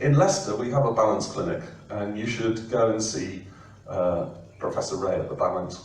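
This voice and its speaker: A man with an English accent speaks with very wide pitch swings. Audible room echo and noticeable background noise surround him. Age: 60s. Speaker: professor. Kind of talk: presentation. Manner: hesitant, many fillers.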